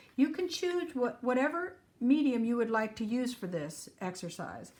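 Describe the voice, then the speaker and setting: The speaker uses an ordinary speaking voice at a moderate pace, with lively intonation. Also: woman. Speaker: art teacher. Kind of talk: tutorial.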